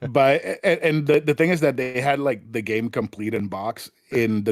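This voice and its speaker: A man speaks with a Spanish accent at a fairly slow pace. The sound is dry and close with no echo, and his pitch variation is ordinary. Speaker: podcast guest, retro gaming enthusiast. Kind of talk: casual chat. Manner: many fillers and restarts.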